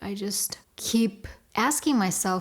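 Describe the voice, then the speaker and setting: A woman with a Russian accent speaks at a medium pitch. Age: 30s. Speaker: vlogger. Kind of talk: personal vlog confession.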